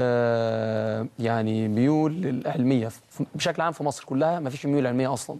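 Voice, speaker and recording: A man with a medium pitch speaks with ordinary pitch variation and hardly any pauses. Noticeable background noise runs behind him. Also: moderate pace. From Egypt (first ten years in Saudi Arabia). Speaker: young inventor, science competition winner. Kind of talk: TV interview. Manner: hesitant, many fillers.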